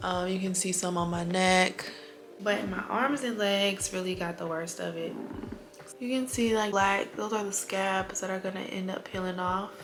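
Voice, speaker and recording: A woman at a moderate pace with fairly even intonation, amid audible room echo and noticeable background noise. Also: medium pitch for a woman. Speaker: travel vlogger. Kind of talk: vlog update.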